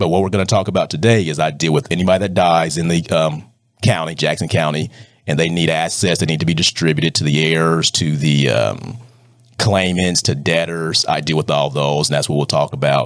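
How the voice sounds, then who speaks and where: Speaking at a fairly quick pace, the man has a very deep, low pitch, ordinary pitch variation and very even loudness. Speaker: probate judge. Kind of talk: interview. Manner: fast.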